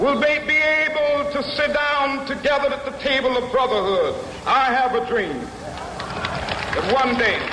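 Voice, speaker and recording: A man with an American accent speaks in a raised, projected, solemn voice at an extremely high pitch, going fairly slowly with ordinary pitch variation and hardly any pauses, over noticeable background noise. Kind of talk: oratory, civil rights speech to a large crowd. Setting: outdoor rally, public address system. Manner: solemn, rhythmic, impassioned.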